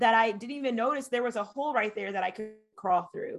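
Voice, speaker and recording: A normal speaking voice from a woman, fairly high in pitch with ordinary pitch variation, over a quiet background. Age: 30s. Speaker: business coach. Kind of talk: casual chat.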